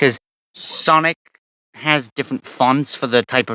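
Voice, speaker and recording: A man talks with a Welsh accent. His intonation stays fairly even. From Wales. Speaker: gaming YouTuber. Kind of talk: merch show-and-tell. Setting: bedroom. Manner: casual, hesitant with fillers.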